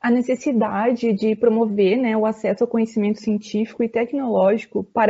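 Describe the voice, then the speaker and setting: This woman has a normal speaking voice. She speaks fairly high at a moderate pace. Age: 20s. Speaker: student podcaster. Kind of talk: reading a prepared script.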